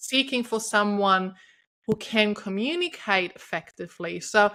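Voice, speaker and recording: A woman with a German accent on a very clean recording with a silent background. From Germany. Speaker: podcast host, intimacy coach. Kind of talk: interview conversation. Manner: energetic.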